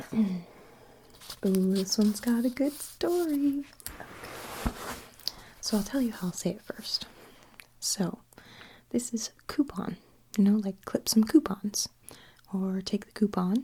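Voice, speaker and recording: The speaker whispers in a soft-spoken way at a very slow pace. Long pauses come often. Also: woman. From Canada. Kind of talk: ASMR accent tag video. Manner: soft-spoken with whispers.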